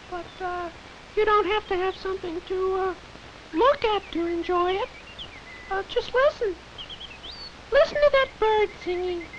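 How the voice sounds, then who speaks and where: A cartoonish character voice with an extremely high pitch talks at a fairly slow pace. Long, frequent pauses break it up, and background noise is clearly audible. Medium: puppet show. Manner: gushing, sing-song.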